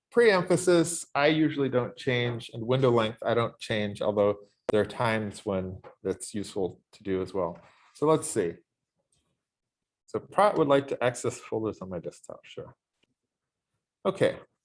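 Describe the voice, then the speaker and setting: A man speaks with very wide pitch swings and big shifts in loudness. He leaves long pauses, and often. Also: medium pitch for a man, moderate pace. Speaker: university lecturer. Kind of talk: lecture with software demo. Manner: halting, many fillers.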